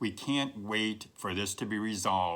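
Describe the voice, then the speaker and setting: Fairly low-pitched male voice with music in the background. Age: 60s. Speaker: career advice video host. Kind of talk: direct-to-camera advice talk. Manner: conversational, emphatic with repetitions.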